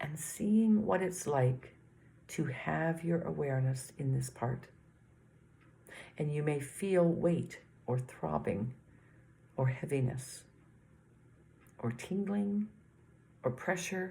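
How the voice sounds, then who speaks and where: The voice is dark, mellow, somewhat breathy and gentle, with lively intonation, long and frequent pauses, and a very slow pace. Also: woman, very deep, low pitch for a woman. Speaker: meditation teacher. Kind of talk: guided body scan meditation.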